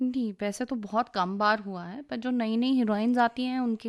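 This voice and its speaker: In a normal speaking voice, a woman with fairly high pitch and fairly even intonation talks at a moderate pace, recorded dry and close with no echo against a quiet background. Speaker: voice-over and dubbing artist. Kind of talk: radio interview.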